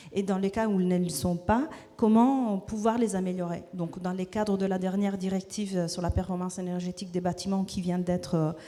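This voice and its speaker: In a non-native accent, a woman with a medium pitch and a dark, mellow tone talks at a fairly quick pace with fairly even intonation. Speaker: researcher at a think tank. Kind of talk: panel presentation. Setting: stage with audience. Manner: halting, many hesitations.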